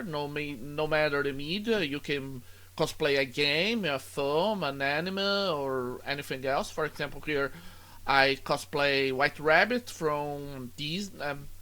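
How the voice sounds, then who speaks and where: Recorded very cleanly with a silent background, a man speaks with a Brazilian Portuguese accent in a bright, sharp tone. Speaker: student. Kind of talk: tutorial. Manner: halting.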